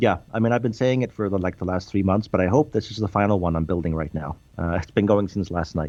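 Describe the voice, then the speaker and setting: A man with a very deep, low pitch, a dark, mellow tone and a Swedish accent, speaking at a very fast pace. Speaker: game developer. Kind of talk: interview.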